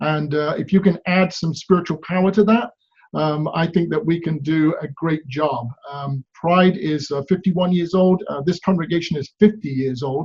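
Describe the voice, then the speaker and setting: With an English accent, a man speaks at a moderate pace in a fairly high pitch with ordinary pitch variation. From England. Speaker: pastor. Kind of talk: prepared video greeting. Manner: hesitant, many fillers.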